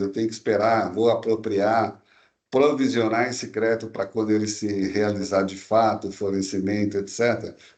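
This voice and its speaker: A man's unremarkable speaking voice, medium in pitch, at a moderate pace. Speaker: tax law expert presenter. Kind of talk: webinar presentation. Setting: online webinar. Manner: casual, conversational.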